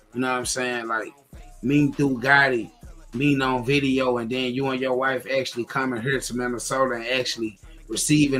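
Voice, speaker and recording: A man's monotone, flat voice at a moderate pace, with music in the background. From Memphis area, West Memphis Arkansas. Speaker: rapper and podcast founder. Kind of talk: interview on birthday livestream. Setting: live stream video. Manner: halting.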